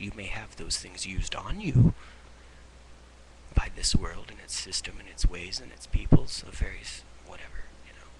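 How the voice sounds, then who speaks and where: Whispering at a moderate pace, a man leaves long, frequent pauses while his loudness swings a lot over noticeable background noise. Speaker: vlogger. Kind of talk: webcam monologue on faith. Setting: webcam at home. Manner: halting, repeating words.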